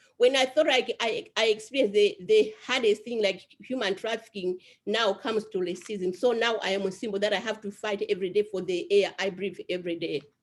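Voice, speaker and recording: Fairly quick speech with hardly any pauses, ordinary pitch variation, and an African accent. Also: woman, medium pitch for a woman. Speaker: survivor advocate. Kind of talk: panel discussion.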